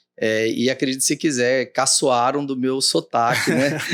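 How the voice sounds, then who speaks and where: A man at a fairly slow pace with fairly even intonation, in a dry, close sound with no echo and a very clean recording with a silent background. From Mato Grosso, Brazil (Cuiabá). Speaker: judge. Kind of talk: interview.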